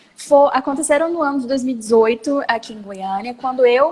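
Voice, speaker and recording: Ordinary pitch variation marks a woman's speech, with noticeable background noise present. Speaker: lawyer and startup founder. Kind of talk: interview. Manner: fast.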